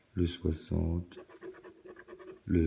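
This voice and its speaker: In a very deep, low pitch, a man speaks with monotone, flat intonation and a dark, mellow, somewhat breathy tone. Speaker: scratch card video creator. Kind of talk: casual solo commentary.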